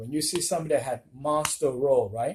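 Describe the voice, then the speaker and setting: Lively intonation runs through a voice that is dark and mellow in tone. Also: man. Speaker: craps gambling vlogger. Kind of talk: casual vlog commentary. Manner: loud, raised voice.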